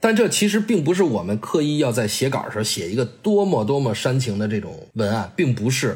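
A somewhat breathy man's fairly quick delivery, with very wide pitch swings and hardly any pauses. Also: medium pitch for a man. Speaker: football TV editor and voice-over narrator. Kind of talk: casual interview.

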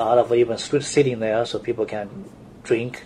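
Over noticeable background noise, a man with a strong Chinese accent talks at a medium pitch and a moderate pace. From China. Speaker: architect. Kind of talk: interview. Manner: halting.

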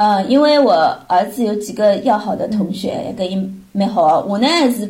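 Amid noticeable background noise and audible room echo, a woman talks at a moderate pace in a fairly high pitch with ordinary pitch variation. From Shanghai, China. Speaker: mother of a student abroad. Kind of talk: casual chat.

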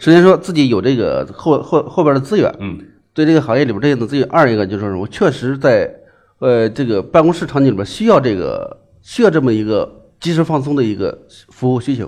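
Against a quiet background, a man with a plain, everyday voice speaks at a fairly quick pace and a fairly high pitch. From Shandong, Liaocheng. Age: 40s. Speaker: entrepreneur. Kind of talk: business pitch interview.

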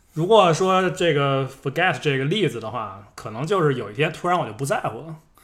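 Fairly quick and with hardly any pauses, a man talks in an ordinary speaking voice. His pitch is fairly high and his intonation lively. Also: very clean recording, silent background. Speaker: podcast co-host. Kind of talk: casual chat. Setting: at a friend's home.

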